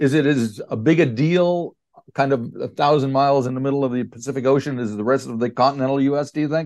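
At a fairly quick pace, a man talks in an ordinary speaking voice, medium in pitch with ordinary pitch variation. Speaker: radio interviewer. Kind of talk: casual interview. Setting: phone call.

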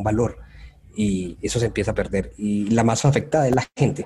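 Speaking at a medium pitch with ordinary pitch variation, a man has a dark, mellow tone with vocal fry. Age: 30s. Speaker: UX designer. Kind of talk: interview.

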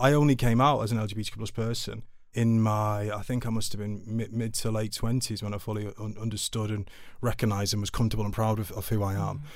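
A man talks at a very fast pace with a Mancunian accent. His fairly low pitch stays monotone and flat. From Manchester, England (Altrincham). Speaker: charity chief executive. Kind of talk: interview.

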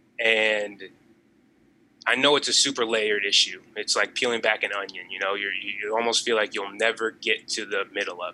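Speaking with an American accent, a man with a fairly low pitch keeps a monotone, flat intonation while his loudness swings widely. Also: moderate pace. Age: 20s. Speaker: podcast guest. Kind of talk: casual chat.

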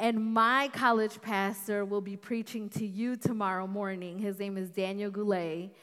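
On a very clean recording with a silent background, a woman with an American accent uses an ordinary speaking voice at medium pitch, with fairly even intonation and a moderate pace. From north suburbs of Chicago. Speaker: guest preacher. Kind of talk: sermon.

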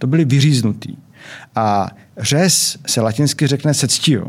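The voice carries vocal fry along with ordinary pitch variation. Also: man. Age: 60s. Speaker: anesthesiologist and obstetrician. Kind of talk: interview. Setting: studio.

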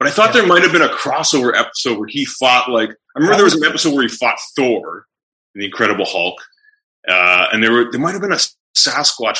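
A fairly high-pitched man with vocal fry, a bright, sharp tone, very wide pitch swings and a very fast pace. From Canada. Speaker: musician and podcaster. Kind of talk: casual chat. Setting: video call.

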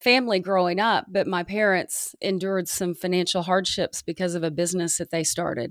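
An unremarkable speaking voice from a woman with an American accent, fairly low in pitch and fairly quick, in a very clean recording with a silent background and a dry, close sound with no echo. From US South. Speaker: sports journalist and podcast host. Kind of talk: casual chat.

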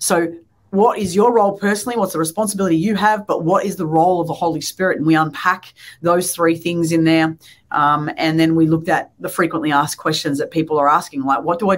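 Speaking very fast with an Australian accent, a woman uses a fairly low pitch and ordinary pitch variation. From Australia, Melbourne. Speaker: pastor. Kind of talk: interview.

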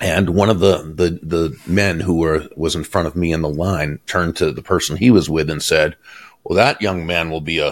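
In an American accent, a man speaks with a very deep, low pitch and fairly even intonation at a moderate pace. The recording is very clean, with a silent background. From Boston, Massachusetts. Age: 60s. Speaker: author and sales speaker. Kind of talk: interview. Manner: warm, gracious.

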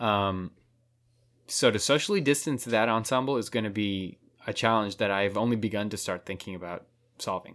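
Recorded very cleanly against a silent background, a man with an unremarkable speaking voice talks at a moderate pace, his fairly low pitch showing ordinary pitch variation. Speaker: professional saxophonist and music teacher. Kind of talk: casual chat.

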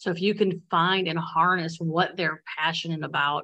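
Hers is a plain, everyday voice: a woman with an American accent talks at a fairly slow pace in a fairly low pitch with fairly even intonation. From Bradley, Illinois. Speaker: elementary school teacher. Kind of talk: interview.

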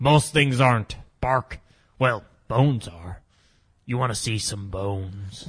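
A man uses a put-on character voice at a medium pitch. He goes at a fairly slow pace with long, frequent pauses. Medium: audio drama. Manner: peppers speech with "bark", laughs a lot.

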